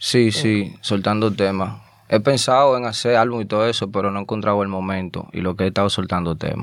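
With fairly low pitch and an unremarkable speaking voice, a man talks at a moderate pace in fairly even intonation. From Dominican Republic (Azua, rural). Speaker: rapper. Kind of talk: casual interview chat; freestyle rap.

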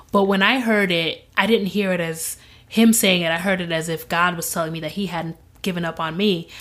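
A woman with a Midwestern American accent, fairly low in pitch, at a fairly quick pace and with fairly even intonation. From born in Zimbabwe, raised in Grand Rapids, Michigan. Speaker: podcast guest sharing faith story. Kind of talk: testimony.

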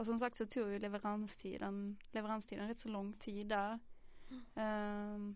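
This woman has a medium-pitched voice. She talks at a fairly slow pace. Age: 20s. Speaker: social work student, podcast host. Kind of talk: casual chat. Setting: studio.

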